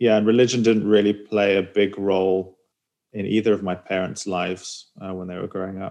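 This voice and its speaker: At a fairly quick pace, a man speaks in a monotone, flat intonation, his dark, mellow voice fairly low in pitch. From Israel and England. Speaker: guest. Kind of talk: interview.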